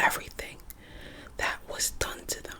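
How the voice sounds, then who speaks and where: A whispered voice at a fairly slow pace. Background noise is noticeable. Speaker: ASMR artist. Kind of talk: ASMR reading of history facts.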